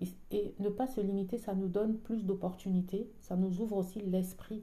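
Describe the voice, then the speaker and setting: A woman speaks at a fairly slow pace in a medium pitch, her voice somewhat breathy. Her intonation stays fairly even. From French-speaking country. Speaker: podcaster. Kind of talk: casual spoken reflection. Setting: at home, dining room. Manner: soft-spoken; hesitant.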